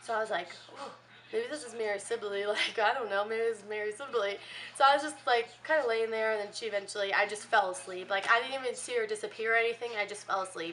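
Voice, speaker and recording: A woman's fairly high voice at a very fast pace, with ordinary pitch variation and noticeable background noise. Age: 20s. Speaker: vlogger. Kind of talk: casual storytelling. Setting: hotel room. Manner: animated.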